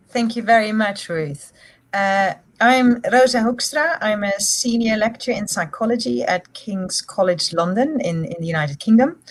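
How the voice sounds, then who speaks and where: With a Dutch accent, the somewhat breathy voice moves at a moderate pace with lively intonation. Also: woman, fairly high pitch for a woman. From Netherlands. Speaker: psychology lecturer and researcher. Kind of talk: panel discussion.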